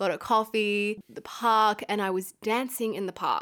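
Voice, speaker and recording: A woman's fairly high-pitched voice comes through on a very clean recording with a silent background. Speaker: podcast host. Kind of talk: solo podcast monologue, casual chat. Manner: fast talker, admits she speeds up; nervous, enthusiastic.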